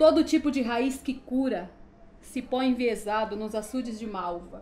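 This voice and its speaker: At a very slow pace, a woman talks using ordinary pitch variation. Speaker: poet. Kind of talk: poetry reading. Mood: emotional, mournful. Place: home room.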